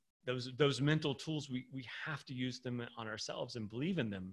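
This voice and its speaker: A man with an American accent, medium in pitch and somewhat breathy, at a moderate pace with ordinary pitch variation. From Swiss American. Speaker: endurance coach and author. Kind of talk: interview. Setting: video call.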